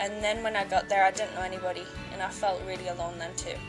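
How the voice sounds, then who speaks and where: A woman with an English accent, medium pitch, moderate pace, music in the background. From Northern England. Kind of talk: personal life-story narration. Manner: shy, monotone.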